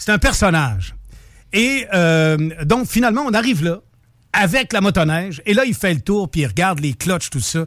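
Long, frequent pauses break up this man's speech. His pitch is high, and his pace is moderate. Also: lively intonation. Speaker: charity event organizer. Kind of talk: interview.

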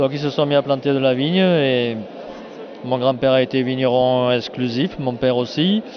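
A man's pitch varies in an ordinary way as noticeable background noise carries on behind him. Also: medium pitch for a man, moderate pace. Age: 70s. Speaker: winegrower. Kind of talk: casual interview.

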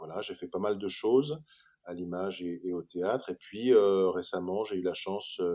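This man's very deep, low voice has a dark, mellow tone, moving at a fairly slow pace with big swings in loudness. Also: ordinary pitch variation. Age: 40s. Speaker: actor. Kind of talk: interview. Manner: halting, many repetitions and hesitations.

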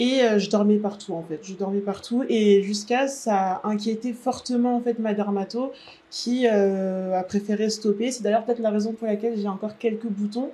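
This woman has a dark, mellow tone and fairly high pitch, speaking at a moderate pace with fairly even intonation. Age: 20s. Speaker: patient sharing her experience. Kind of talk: interview testimony.

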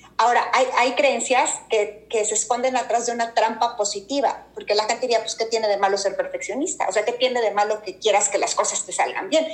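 Over noticeable background noise, a woman with a fairly high pitch talks at a fairly quick pace with hardly any pauses. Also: ordinary pitch variation. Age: 40s. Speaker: executive coach. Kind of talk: casual interview chat.

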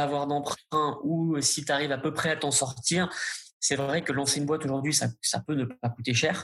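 With very even loudness, a man speaks in a fairly high pitch and a monotone, flat intonation. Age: 30s. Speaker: startup founder and CEO. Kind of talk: interview.

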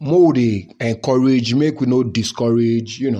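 At a fairly slow pace, the speech carries a dark, mellow tone. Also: man. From Nigeria. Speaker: podcast host telling his life story. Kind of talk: personal storytelling memoir. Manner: casual, conversational, code-switching into Pidgin.

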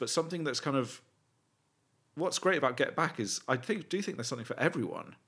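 With a British accent, a man talks at a fairly quick pace with lively intonation. The recording is very clean, the background silent. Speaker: podcast co-host. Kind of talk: casual chat. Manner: rambling, hesitant.

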